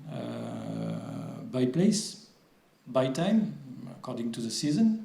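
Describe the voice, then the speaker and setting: With a French accent and lively intonation, a man speaks at a medium pitch amid audible room echo and noticeable background noise. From France. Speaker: water agency official. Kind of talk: conference presentation. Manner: halting, many fillers.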